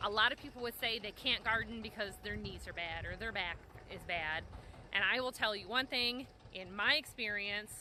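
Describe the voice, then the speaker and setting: A woman talks loudly in a fairly high pitch, her tone bright and sharp, with ordinary pitch variation. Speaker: small farmer and homesteader. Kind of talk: casual vlog narration. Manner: fast.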